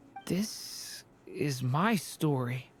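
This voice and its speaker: This is a put-on character voice, raspy in texture. It sits at a low-to-middle pitch. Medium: video game. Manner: soft, earnest.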